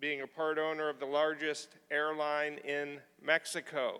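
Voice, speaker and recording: Loud and at a fairly slow pace, a man talks with a fairly high pitch and a bright, sharp tone. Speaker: symposium moderator. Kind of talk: event introduction.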